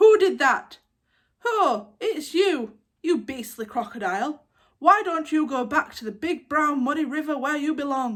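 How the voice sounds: A woman puts on a character voice pitched high. She speaks at a moderate pace.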